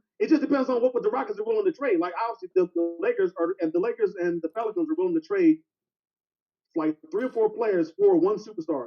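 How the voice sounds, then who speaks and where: Over music in the background, a man talks at a very fast pace in an extremely high pitch with very wide pitch swings. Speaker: sports talk show panelist. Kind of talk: casual sports debate. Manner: halting, many repeated words.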